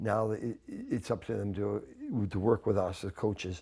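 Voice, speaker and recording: A man's dark, mellow, somewhat breathy voice with ordinary pitch variation, in a very clean recording with a silent background. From Canada. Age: 70s. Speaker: hockey coach. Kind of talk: sports interview. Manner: casual, repetitive restarts.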